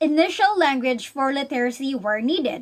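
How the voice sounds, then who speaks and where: A woman's high voice shows ordinary pitch variation as she talks at a moderate pace. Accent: Visayan Filipino. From Philippines, Visayas. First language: Bisaya (Cebuano). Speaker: student. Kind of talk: recorded school assignment answer. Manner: halting, with repeated words and self-corrections.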